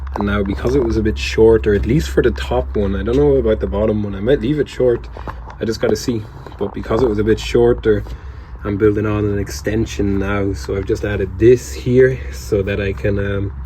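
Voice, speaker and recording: Fairly low in pitch, a man talks at a fairly quick pace with very wide pitch swings. Background noise is noticeable. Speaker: leatherworker and DIY vlogger. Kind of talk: casual vlog. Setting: workshop. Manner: whispering.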